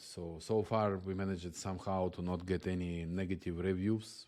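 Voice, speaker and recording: A man with a non-native accent speaks at a moderate pace with fairly even intonation. His very deep, low voice has a dark, mellow tone against a quiet background. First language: not English. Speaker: software agency founder. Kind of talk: channel introduction monologue. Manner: halting, many fillers.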